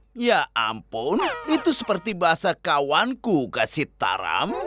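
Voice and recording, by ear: A cartoonish character voice at a middle pitch talks at a fairly slow pace.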